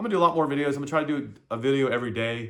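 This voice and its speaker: Rattling along very fast, a man speaks, his pitch moving in an ordinary range. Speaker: side-hustle vlogger. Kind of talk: casual vlog monologue. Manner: halting.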